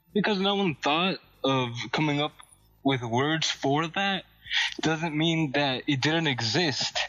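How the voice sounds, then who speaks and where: With music in the background, a man talks at a very slow pace in a fairly high pitch, keeping very even loudness and ordinary pitch variation while taking long, frequent pauses. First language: not English. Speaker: podcast co-host. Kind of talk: casual chat.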